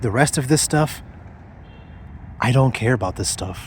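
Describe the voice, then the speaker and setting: A man's somewhat breathy voice moves at a fairly slow pace, with ordinary pitch variation. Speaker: vlogger. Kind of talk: personal vlog monologue. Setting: outdoors. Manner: stuttering over words.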